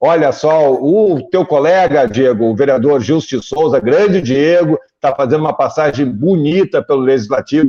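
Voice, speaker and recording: Over a quiet background, a man speaks at a moderate pace with hardly any pauses and very even loudness. His fairly high pitch carries a dark, mellow tone and ordinary pitch variation. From southern Brazil, Porto Alegre. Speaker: journalist, interview show host. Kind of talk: political interview show.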